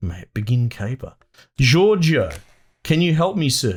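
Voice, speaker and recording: With a strong Australian accent, a man speaks very slowly at a fairly high pitch, making very wide pitch swings in a somewhat breathy voice. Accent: broad Australian. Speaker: gaming YouTuber. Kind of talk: let's play commentary. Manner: casual, thinking aloud.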